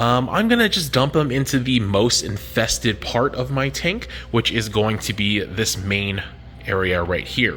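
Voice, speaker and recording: Over music in the background, a man with a fairly low voice speaks fairly slowly with lively intonation. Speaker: reef aquarium hobbyist YouTuber. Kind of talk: casual video vlog. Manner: casual with many filler words; whispering.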